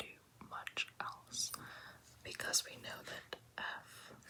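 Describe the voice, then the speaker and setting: Noticeable background noise fills the clip. Over it, a speaker whispers. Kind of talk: ASMR math tutorial whisper. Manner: whispered.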